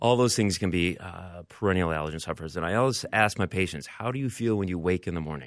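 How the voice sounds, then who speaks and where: A man's very deep, low voice at a very fast pace with hardly any pauses and ordinary pitch variation, on a very clean recording with a silent background. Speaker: allergy doctor. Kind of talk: medical interview.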